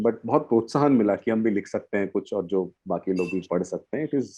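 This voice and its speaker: A man with an Odia accent. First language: Odia (speaking Hindi). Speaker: poet. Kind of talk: interview on a panel. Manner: halting, many fillers.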